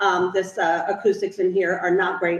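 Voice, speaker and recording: Noticeable background noise sits behind this recording. A woman speaks at a fairly quick pace in a medium pitch with fairly even intonation. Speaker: task force chair. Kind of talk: public meeting chairing. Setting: meeting room, poor acoustics. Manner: fast; quiet.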